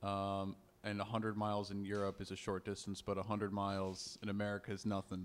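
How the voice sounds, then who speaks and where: Speaking very fast, a man holds a fairly low pitch. His intonation is monotone and flat. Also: very clean recording, silent background. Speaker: podcast co-host, comedian. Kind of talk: casual podcast chat.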